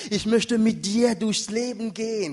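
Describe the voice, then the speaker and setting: The tone is animated, with a non-native accent and a moderate pace. Noticeable background noise runs underneath. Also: man. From Africa. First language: not German (speaking German). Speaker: pastor. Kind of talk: sermon.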